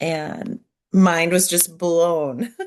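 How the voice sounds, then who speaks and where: A woman of medium pitch with an American accent. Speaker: community member. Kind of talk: personal testimony. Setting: video call. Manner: unscripted, hesitant.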